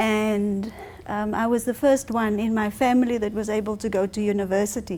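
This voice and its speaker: A woman with a South African accent speaks at a moderate pace in a fairly high voice, her tone dark and mellow and her intonation flat and monotone. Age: 40s. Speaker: speaker. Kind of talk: public talk. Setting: library event with audience.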